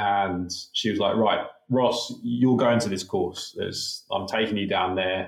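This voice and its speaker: A man with a slight British accent speaks at a fairly slow pace. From UK. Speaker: conservation researcher. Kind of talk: interview, conversational.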